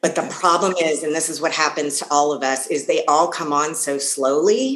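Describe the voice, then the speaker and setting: A woman with an American accent, very deep, low pitch and lively intonation. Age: 50s. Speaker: health and life coach. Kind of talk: interview.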